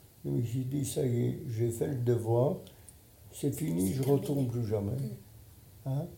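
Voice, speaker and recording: With audible room echo, a man speaks at a medium pitch in a dark, mellow tone with vocal fry. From Poland. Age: 90s. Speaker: Holocaust survivor and retired surgeon. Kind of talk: testimony.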